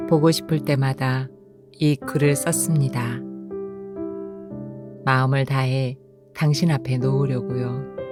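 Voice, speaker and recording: Over music in the background, a woman speaks in a calm tone at a very slow pace, with long, frequent pauses and very even loudness. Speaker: audiobook narrator. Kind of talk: essay reading. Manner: calm, emotional.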